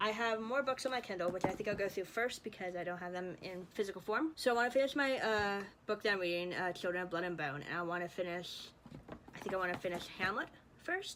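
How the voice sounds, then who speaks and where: Her pitch medium and its variation ordinary, a woman speaks at a very fast pace. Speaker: book vlogger. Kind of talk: casual chat. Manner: careful enunciation; chatty.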